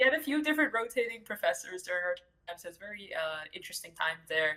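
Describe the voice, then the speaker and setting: A woman with a New York accent speaks in a bright, sharp tone, her pitch swinging very widely. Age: 20s. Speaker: entry-level game industry advocate and streamer. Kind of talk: podcast interview. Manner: fast, run-on speech with many fillers.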